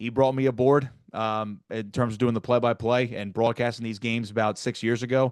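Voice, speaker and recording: Speaking with a New Jersey accent, a man keeps a medium pitch and a monotone, flat intonation. His pace is fairly quick, and the background is quiet. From South Jersey near Atlantic City. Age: 20s. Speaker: sports broadcaster. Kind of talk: podcast interview. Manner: fast.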